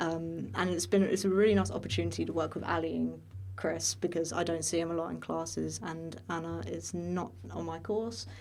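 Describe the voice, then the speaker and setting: A woman's very deep, low voice, fairly quick, with very wide pitch swings and audible room echo. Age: 20s. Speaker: student podcast host, voice acting student. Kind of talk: casual chat. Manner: hesitant, many fillers.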